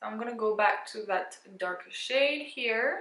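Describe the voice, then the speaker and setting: Using a normal speaking voice, a woman talks at a fairly high pitch with ordinary pitch variation. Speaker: beauty youtuber. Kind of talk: makeup tutorial. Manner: casual.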